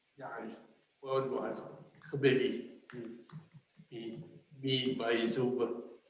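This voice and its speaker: A man speaks at a very slow pace in an American accent, his pitch medium and his intonation monotone and flat. Audible room echo surrounds the voice. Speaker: council member. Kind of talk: council meeting. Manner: halting, repeats words.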